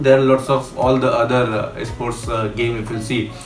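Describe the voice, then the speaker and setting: Audible room echo and background music accompany a man talking at a moderate pace. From India. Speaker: traveler. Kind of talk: interview. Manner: halting.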